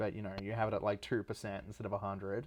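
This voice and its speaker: Soft-spoken, a man talks at a fairly low pitch with fairly even intonation. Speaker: music producer. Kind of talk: livestream album breakdown. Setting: livestream. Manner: casual, filler-heavy.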